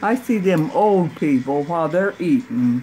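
Through noticeable background noise, a woman with a fairly low pitch speaks with very wide pitch swings. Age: 80s+. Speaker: great aunt telling stories. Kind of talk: casual storytelling. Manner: blunt, feisty. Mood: feisty, humorous, unfiltered. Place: home room.

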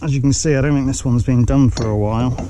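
A man at a medium pitch and fast pace, with clear background noise. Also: fairly even intonation.

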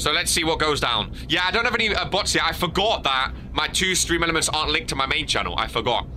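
Over light background noise, a man talks at a very fast pace with hardly any pauses, a fairly high pitch, lively intonation and very even loudness. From UK. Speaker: gaming streamer. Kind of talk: live gameplay stream commentary. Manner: animated. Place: home room. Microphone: studio mic.

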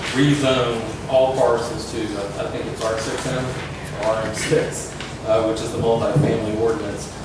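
A man talks with ordinary pitch variation. There is audible room echo and loud background noise. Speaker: applicant presenting to city council. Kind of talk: formal presentation. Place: meeting room. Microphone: camera far.

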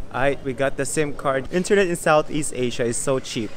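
Some light noise sits in the background. The man's pitch varies in an ordinary way. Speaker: travel vlogger. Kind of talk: casual vlog chat. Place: station. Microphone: phone near.

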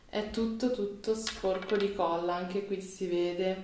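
There is light background noise and audible room echo as a woman speaks in an animated tone. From Italy. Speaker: beauty vlogger. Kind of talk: casual vlog. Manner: animated, chatty. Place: home room.

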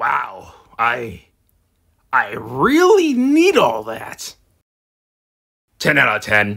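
The speaker uses a put-on character voice at a very slow pace, with long, frequent pauses. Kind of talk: trailer reaction. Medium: role play. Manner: excitable, goofy.

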